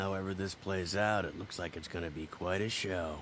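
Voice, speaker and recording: A man's put-on character voice, raspy and very deep and low, in a deadpan tone with fairly even intonation, at a moderate pace over clear background noise. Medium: fan dub. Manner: laconic, deadpan.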